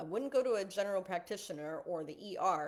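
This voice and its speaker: Her pitch sits in the medium range for a woman. She talks at a moderate pace with lively intonation. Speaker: marketing educator for photographers. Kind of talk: online live lesson. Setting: Facebook live stream. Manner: casual, with frequent fillers.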